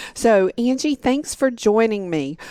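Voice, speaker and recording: A woman with a Southern US accent talks at a moderate pace in a dark, mellow tone with lively intonation and a dry, close sound with no echo. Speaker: podcast host. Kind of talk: podcast interview.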